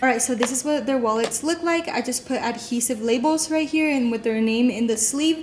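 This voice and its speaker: A woman's high-pitched voice with ordinary pitch variation at a moderate pace, over noticeable background noise. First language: Spanish. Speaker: elementary school teacher. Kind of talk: casual vlog tour. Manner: casual, lots of fillers.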